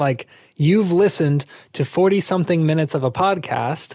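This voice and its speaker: On a very clean recording with a silent background and a dry, close sound with no echo, a man speaks with ordinary pitch variation. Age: 20s. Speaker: mental health advocate and startup founder. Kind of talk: interview. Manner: casual, conversational.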